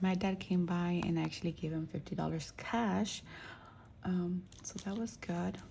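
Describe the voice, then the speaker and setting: This speaker is soft-spoken. The pace is moderate. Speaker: budgeting vlogger. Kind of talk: casual chat.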